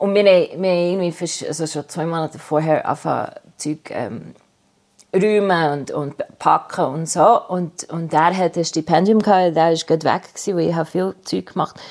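A woman's fairly low-pitched voice keeps fairly even intonation and moves at a moderate pace. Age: 50s. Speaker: artist. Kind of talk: interview. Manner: halting.

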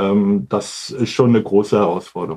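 A man talks with fairly even intonation against a quiet background. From northern Germany, Hamburg. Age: 50s. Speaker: statistics office department head. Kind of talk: interview.

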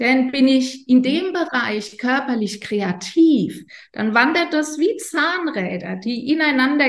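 Very slow, lively speech from a woman with a high pitch. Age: 50s. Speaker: yoga teacher and coach. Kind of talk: interview explaining yoga and chakras. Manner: hesitant, many fillers.

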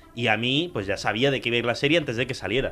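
A man's very fast speech with ordinary pitch variation, against noticeable background noise. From Spain, raised from age four; born in Córdoba, Argentina. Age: 20s. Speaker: podcast host. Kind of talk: casual chat.

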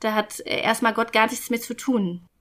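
Very slowly, a woman speaks at a fairly high pitch in a monotone, flat way. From rural Germany. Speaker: guest telling her life story. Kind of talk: casual interview. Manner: halting, with many fillers.

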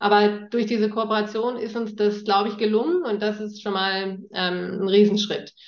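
With hardly any pauses, a woman talks at a moderate pace and a fairly high pitch, her intonation fairly even. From northern Germany, near East Frisia. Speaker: startup founder. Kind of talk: interview. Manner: hesitant fillers.

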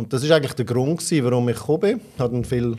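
A man talks with ordinary pitch variation in a dark, mellow tone. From Switzerland, Aargau. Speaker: insurance executive. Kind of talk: interview. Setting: studio.

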